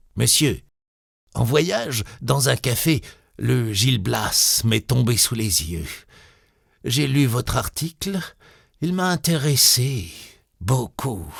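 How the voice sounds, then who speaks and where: A man puts on a raspy, hoarse character voice at a medium pitch, speaking at a very slow pace with long, frequent pauses on a very clean recording with a silent background. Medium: read story. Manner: blunt, abrupt.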